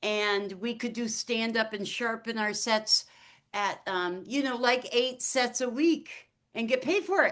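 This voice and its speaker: A woman's fairly high voice at a fairly slow pace, a plain, everyday voice with ordinary pitch variation against a quiet background. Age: 60s. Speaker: stand-up comedian and author. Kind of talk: casual chat.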